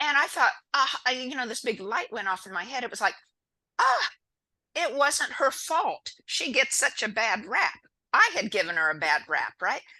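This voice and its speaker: A woman speaks in a raised, projected voice, high in pitch and bright and sharp in tone, with very wide pitch swings. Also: moderate pace. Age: 60s. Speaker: spiritual healer. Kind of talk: interview. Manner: halting.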